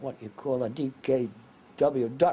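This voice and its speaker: Speaking very slowly with an American accent, a man has a fairly high pitch, ordinary pitch variation and a dark, mellow tone. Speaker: war veteran. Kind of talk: interview answer.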